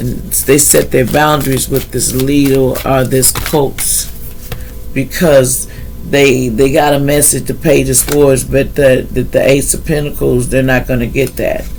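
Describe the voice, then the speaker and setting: With music in the background and audible room echo, a man speaks at a fairly slow pace. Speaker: tarot reader. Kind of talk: tarot reading. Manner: halting.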